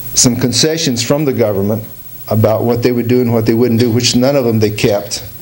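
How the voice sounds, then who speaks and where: Over noticeable background noise and audible room echo, a man with a medium pitch talks at a fairly quick pace, his intonation fairly even and his loudness very even. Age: 60s. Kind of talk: talk to an audience. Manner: informal, halting with fillers.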